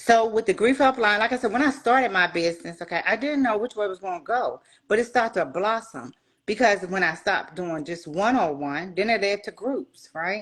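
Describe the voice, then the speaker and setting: Speaking at a fairly quick pace with lively intonation, a woman uses a normal speaking voice at medium pitch, captured on a very clean recording against a silent background. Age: 60s. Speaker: retired soldier and grief coach. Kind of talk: interview.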